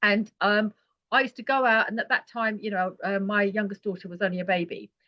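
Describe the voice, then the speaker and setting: A woman talks at a fairly quick pace. Her pitch sits in the middle range. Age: 60s. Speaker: holistic healer and retreat guide. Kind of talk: podcast interview. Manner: animated, repetitive fillers.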